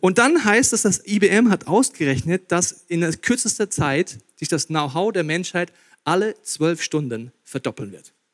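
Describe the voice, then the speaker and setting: Recorded dry and close with no echo, a man speaks with a high pitch, an animated tone and very wide pitch swings. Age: 30s. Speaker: pastor. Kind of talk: sermon.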